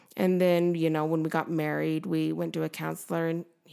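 A woman with a western US accent speaks at a moderate pace. The recording is very clean, with a silent background. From Utah (Nephi), adopted from Korea at 3. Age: 30s. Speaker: cupcake shop owner. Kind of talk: casual chat interview.

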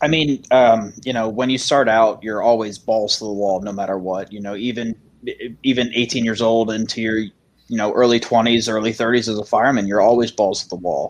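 In an American accent, this is an ordinary speaking voice at a moderate pace with fairly even intonation. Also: man, medium pitch for a man. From Maryland. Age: 20s. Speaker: firefighter and dispatcher. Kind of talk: casual panel discussion.

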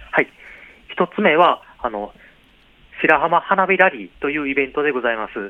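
A man's fairly high voice with lively intonation, a moderate pace and long, frequent pauses, over noticeable background noise. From Wakayama, Tanabe. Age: 40s. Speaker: local government tourism official. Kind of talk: radio interview. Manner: hesitant, many fillers.

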